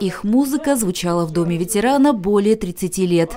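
A woman speaks at a moderate pace with very wide pitch swings. Noticeable background noise runs through the clip. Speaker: news reporter. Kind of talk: TV news voice-over.

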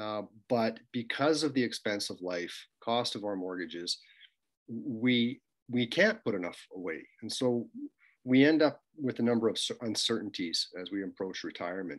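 A man at a moderate pace with lively intonation, over a quiet background. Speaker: guest. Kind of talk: interview answer. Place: home room. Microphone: video call.

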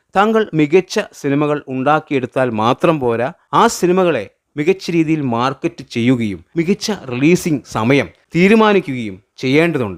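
A man's fairly high voice moves through very wide pitch swings. The sound is dry and close, with no echo. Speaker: YouTube film commentator. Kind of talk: solo commentary video.

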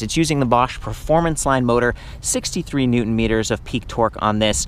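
A man at a fairly quick pace, in a dry sound with no echo. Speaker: bike reviewer. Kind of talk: product review commentary. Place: open country. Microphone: phone near.

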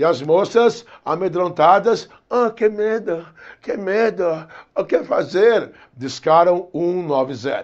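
A man's high-pitched voice with lively intonation at a very slow pace. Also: quiet background. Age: 50s. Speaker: law professor for civil service exam prep, former police officer; law professor for civil service exam prep. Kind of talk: lecture with comic storytelling. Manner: animated. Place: classroom. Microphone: lapel.

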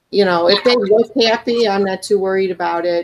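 Woman with a Chicago accent at a moderate pace, ordinary pitch variation, quiet background. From US Midwest. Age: 50s. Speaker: reef aquarium hobbyist; reef hobbyist host. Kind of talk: casual chat. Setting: video call. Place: home room. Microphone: camera far.

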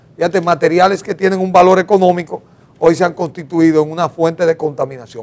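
Here a man talks at a high pitch. His pace is fairly quick. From Dominican Republic. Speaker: politician. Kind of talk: talk show interview; interview answer. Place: studio. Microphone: lapel.

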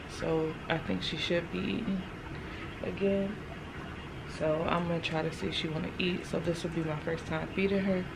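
Through loud background noise, a woman talks at a moderate pace with ordinary pitch variation and long, frequent pauses. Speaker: new mother vlogger. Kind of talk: casual vlog chat.

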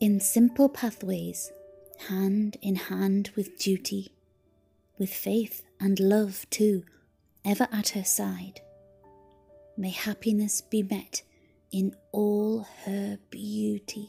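Very slow, soft-spoken delivery in a gentle tone, with long, frequent pauses and music in the background. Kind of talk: poetry reading.

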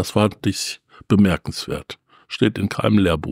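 Recorded very cleanly against a silent background, with a dry, close sound and no echo, a man speaks very slowly at a fairly low pitch. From Germany, Siegen area. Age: 60s. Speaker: museum volunteer, former pharma employee. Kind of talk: interview, storytelling. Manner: animated.

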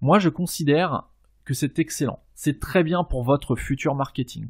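A man's somewhat breathy, fairly high voice, dry and close with no echo, in a very clean recording with a silent background. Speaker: podcast host, e-commerce entrepreneur. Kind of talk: solo podcast tutorial. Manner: hesitant, many fillers and repetitions.

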